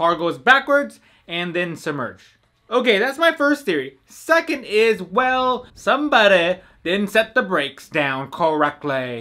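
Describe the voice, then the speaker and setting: Against a quiet background, a man uses a raised, projected voice at a fairly slow pace, with very wide pitch swings. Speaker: car vlogger. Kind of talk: casual vlog commentary.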